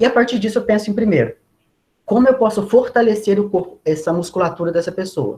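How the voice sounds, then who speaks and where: The man's voice sits high in pitch, with a dark, mellow tone. He speaks at a fairly quick pace. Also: ordinary pitch variation. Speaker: body preparation trainer for performers. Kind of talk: online lecture. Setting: video call.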